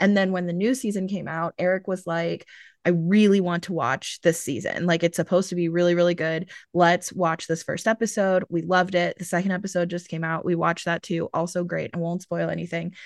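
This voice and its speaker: In a normal speaking voice, a woman talks with fairly low pitch and fairly even intonation against a quiet background. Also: fairly quick pace. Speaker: podcast host. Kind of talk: casual chat.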